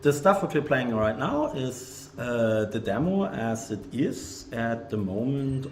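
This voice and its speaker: Speaking fairly slowly with a German accent, a man uses lively intonation over noticeable background noise and audible room echo. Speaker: game developer. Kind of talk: live game stream. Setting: video livestream. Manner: hesitant, many fillers.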